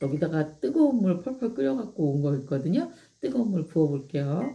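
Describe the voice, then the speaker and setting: A woman with a dark, mellow tone, somewhat breathy, fairly low in pitch with very wide pitch swings, at a fairly quick pace. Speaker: live-stream host promoting products. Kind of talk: casual live-stream chat with product demo.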